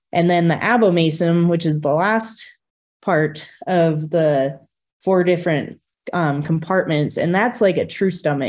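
With a plain, everyday voice, a woman speaks at a moderate pace in a fairly low pitch, her intonation fairly even against a quiet background. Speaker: presenter. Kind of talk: lecture. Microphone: webcam.

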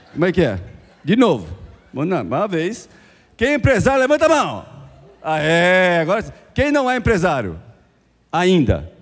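A man's speech at a fairly slow pace, broken by long, frequent pauses. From Brazil. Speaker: business speaker; speaker. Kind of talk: motivational talk. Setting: stage with audience. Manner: animated. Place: hall. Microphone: handheld.

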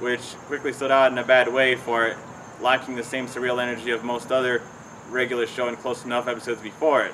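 Over light background noise, a man talks at a very fast pace with a monotone, flat intonation. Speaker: cartoon commentary vlogger. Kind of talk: commentary. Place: garden.

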